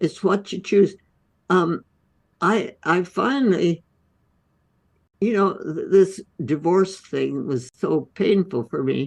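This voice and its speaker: A woman with vocal fry speaks very slowly at a medium pitch. Her intonation is lively. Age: 80s+. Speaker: holistic medicine physician. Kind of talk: interview answer.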